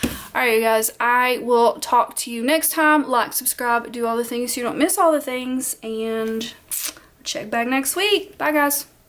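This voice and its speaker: Fairly slow speech from a woman, high in pitch, with ordinary pitch variation. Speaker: planner video creator. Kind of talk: casual vlog talk to camera. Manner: animated, encouraging.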